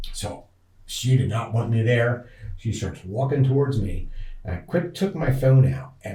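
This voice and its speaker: Lively intonation and big swings in loudness mark this man's speech at a moderate pace. Audible room echo is present. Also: medium pitch for a man. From northeast Pennsylvania. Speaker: outdoorsman, hunter and angler. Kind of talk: interview storytelling. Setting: podcast recording.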